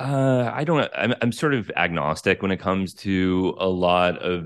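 With an American accent, a man speaks at a fairly slow pace in a very deep, low pitch. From United States. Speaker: journalist and psychedelic researcher. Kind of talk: interview conversation.

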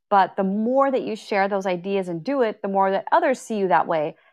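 A woman with a Canadian accent and a normal speaking voice talks at a moderate pace with ordinary pitch variation on a very clean recording with a silent background. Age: 30s. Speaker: online creator and coach. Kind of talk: casual chat. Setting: Clubhouse audio room.

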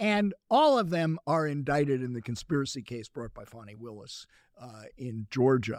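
With a normal speaking voice at medium pitch, a man talks at a moderate pace with lively intonation, the sound dry and close with no echo. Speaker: investigative journalist and author. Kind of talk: casual interview conversation. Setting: studio.

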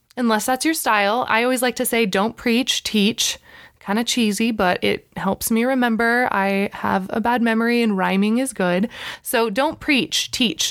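The woman has an unremarkable speaking voice, fairly high in pitch with ordinary pitch variation, at a moderate pace. Her loudness is very even in a very clean recording with a silent background. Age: 30s. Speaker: podcast host. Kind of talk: casual monologue.

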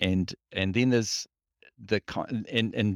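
On a very clean recording with a silent background, a man talks at a fairly slow pace. He has a New Zealand accent. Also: dry, close sound with no echo. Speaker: freshwater ecologist. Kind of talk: interview. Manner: halting.

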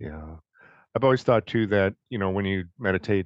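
With a Detroit accent and a fairly low pitch, the man talks at a fairly quick pace with ordinary pitch variation, in a dry, close sound with no echo and a quiet background. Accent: Inland North American (Detroit). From US Midwest, Detroit. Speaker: co-host, meditation student. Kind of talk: casual chat.

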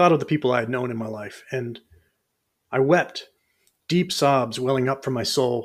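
At a moderate pace, a man speaks at medium pitch with ordinary pitch variation and long, frequent pauses. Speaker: podcast host and fiction reader. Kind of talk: dramatic first-person fiction narration, read aloud from a written story. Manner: solemn, measured, brooding; intimate, reflective, building dread.

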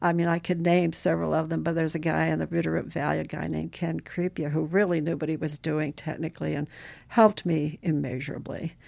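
A woman with an American accent at a very fast pace, on a very clean recording with a silent background. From Montana, US (Butte). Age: 70s. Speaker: rancher and online entrepreneur. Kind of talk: podcast interview.

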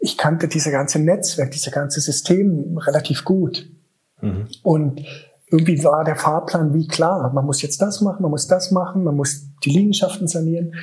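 Using a normal speaking voice, a man talks at a moderate pace and a fairly high pitch with ordinary pitch variation. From eastern Germany, Königs Wusterhausen near Berlin. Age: 40s. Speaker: special-education school director. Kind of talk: interview.

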